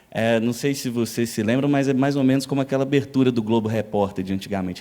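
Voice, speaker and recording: A man in a mineiro accent, medium in pitch with ordinary pitch variation. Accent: non-São Paulo Brazilian accent (mineiro). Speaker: public official, international relations specialist. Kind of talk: lecture.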